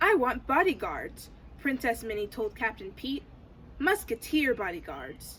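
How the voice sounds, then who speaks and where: A put-on character voice at a fairly high pitch moves at a moderate pace over clear background noise. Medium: read story.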